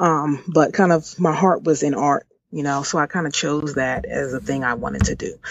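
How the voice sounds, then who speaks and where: A woman with an American accent speaks at a moderate pace. Her pitch is very deep and low, with vocal fry. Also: ordinary pitch variation. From Washington D.C. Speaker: entrepreneur. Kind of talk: interview. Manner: hesitant, many filler words.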